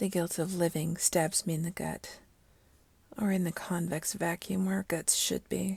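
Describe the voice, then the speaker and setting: Speaking at a fairly slow pace, a woman uses a fairly low pitch with vocal fry. The sound is dry and close, with no echo. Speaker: story narrator / ASMR channel host. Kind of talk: story reading, melancholy first-person narration. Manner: soft, melancholic, subdued.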